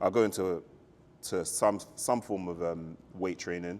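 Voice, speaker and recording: The speaker has a London accent and a fairly slow pace. The intonation is monotone and flat. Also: man. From South London, England. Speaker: fitness enthusiast. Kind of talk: podcast interview.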